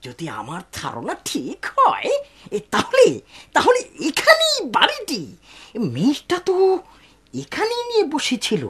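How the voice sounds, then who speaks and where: A put-on character voice at an extremely high pitch, delivered at a fairly slow pace. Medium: fan dub. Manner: hesitant, halting.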